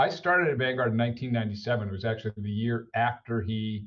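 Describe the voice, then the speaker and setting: Somewhat breathy, this voice with an American accent moves at a fairly quick pace with ordinary pitch variation. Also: man. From United States. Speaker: finance executive. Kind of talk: podcast interview. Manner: frequent fillers and repetitions.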